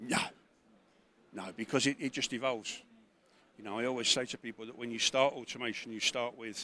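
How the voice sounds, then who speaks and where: A man speaks at a fairly quick pace in a medium pitch. His tone is bright and sharp. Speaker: trade show exhibitor. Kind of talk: trade show interview.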